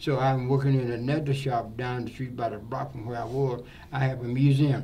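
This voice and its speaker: With audible room echo and noticeable background noise, a man of medium pitch speaks at a fairly quick pace in a monotone, flat delivery. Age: 80s+. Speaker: barber. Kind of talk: interview. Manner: halting.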